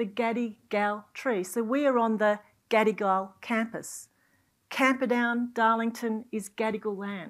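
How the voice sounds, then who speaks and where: With an Australian accent, a woman speaks fairly slowly in a fairly high voice against a quiet background. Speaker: university executive and event moderator. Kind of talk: panel moderation. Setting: stage with audience. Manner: animated. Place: hall. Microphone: lapel.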